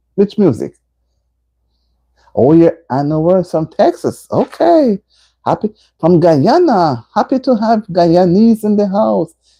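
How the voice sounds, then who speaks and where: Medium-pitched female speech with a dark, mellow tone and very wide pitch swings, fairly slow with long, frequent pauses, dry and close with no echo against a quiet background. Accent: Jamaican. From Jamaica. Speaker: livestream host. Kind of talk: casual chat. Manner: animated; loud.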